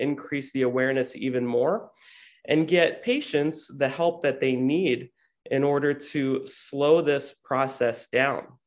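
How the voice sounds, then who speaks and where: A man with an American accent talks at a moderate pace. His is an ordinary speaking voice, fairly high in pitch. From New Jersey, US. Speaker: optometrist. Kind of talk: interview.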